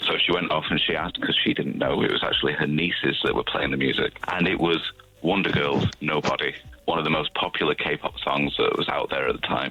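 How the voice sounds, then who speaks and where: Over noticeable background noise, a man with a Manchester accent talks at a fairly quick pace and very even loudness. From northern England, Manchester. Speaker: K-pop radio show host, interview guest. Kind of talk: radio interview.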